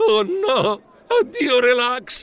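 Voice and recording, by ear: At a very slow pace, a put-on character voice with a fairly bright tone swings widely in pitch. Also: man, extremely high pitch for a man.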